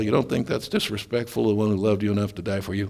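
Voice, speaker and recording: A man with an American accent and a fairly low voice talks at a very fast pace. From US Midwest (Nebraska, Oklahoma). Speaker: preacher. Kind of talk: sermon. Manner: animated.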